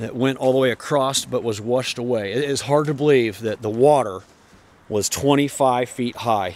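A man talks at a moderate pace with fairly even intonation. The sound is dry, without any echo. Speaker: trail runner vlogger. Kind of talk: casual vlog chat. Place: forest. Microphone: phone near.

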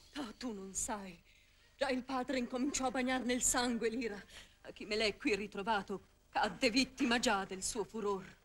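Light background noise, a moderate pace, ordinary pitch variation, and long, frequent pauses. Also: woman. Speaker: stage actress. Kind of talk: 1959 theatrical verse tragedy performance, declaimed. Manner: tender, anguished, pleading, emotional stage delivery. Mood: anxious, pleading. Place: studio. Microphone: old recording.

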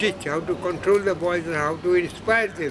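Over noticeable background noise, the speaker talks with a Bengali accent and ordinary pitch variation. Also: man. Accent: Indian English, Bengali. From Kolkata, India. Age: 80s+. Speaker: sketch artist and art teacher. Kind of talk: interview answer. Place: hall. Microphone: phone near.

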